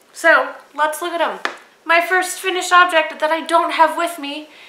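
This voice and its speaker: The voice is raised and projected. Audible room echo and noticeable background noise surround it. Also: woman. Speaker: knitting podcast host. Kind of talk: casual video podcast monologue. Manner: casual with frequent fillers.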